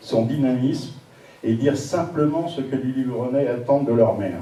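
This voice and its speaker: Over noticeable background noise and audible room echo, a man speaks at a moderate pace with a medium pitch and ordinary pitch variation. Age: 60s. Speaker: municipal election candidate. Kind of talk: campaign video statement. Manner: formal.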